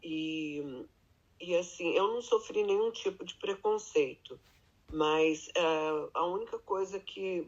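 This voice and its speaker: A woman at a very slow pace in a medium pitch. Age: 60s. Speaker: restaurant worker, immigrant grandmother. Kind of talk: interview. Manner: halting.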